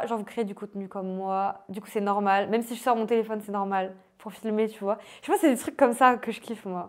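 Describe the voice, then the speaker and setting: Her pitch fairly high and her intonation fairly even, a woman talks at a fairly quick pace. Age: 20s. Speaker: life coach and author. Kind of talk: casual interview. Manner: casual, hesitant with fillers.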